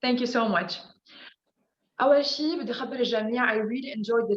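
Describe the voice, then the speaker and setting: With audible room echo, a woman speaks in a high pitch. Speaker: presenter. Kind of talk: motivational talk.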